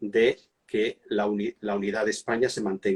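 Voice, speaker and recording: A man with a Catalan accent. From Catalonia, Spain. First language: Catalan (speaking Spanish). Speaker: monarchy and history expert. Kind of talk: interview. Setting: Instagram live video call. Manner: hesitant, with fillers.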